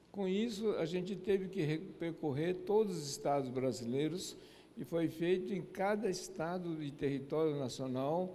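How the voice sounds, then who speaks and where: In a Japanese accent, a man with a fairly high, dark, mellow voice speaks at a fairly slow pace with ordinary pitch variation, and the room echo is audible. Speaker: lecturer. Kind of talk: lecture. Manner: halting.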